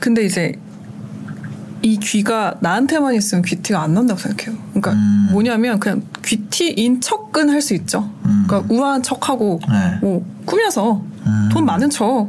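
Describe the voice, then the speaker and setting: There is noticeable background noise behind this woman's voice. She keeps a very even loudness at a moderate pace. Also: medium pitch for a woman, ordinary pitch variation. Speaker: radio producer and DJ, now guest. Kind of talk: casual interview conversation.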